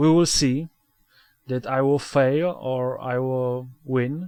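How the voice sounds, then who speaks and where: Speaking at a very slow pace, a man uses a medium pitch and fairly even intonation. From Poland. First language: Polish. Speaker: gaming video creator. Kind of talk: let's play commentary. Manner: halting, many fillers and repetitions.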